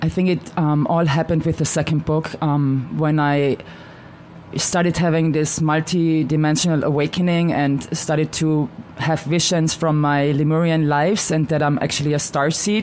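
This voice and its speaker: A woman with an Austrian accent speaks in a very deep, low pitch at a moderate pace. Her intonation is monotone and flat, her loudness very even, and background noise is noticeable. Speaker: shaman and author. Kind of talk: radio interview.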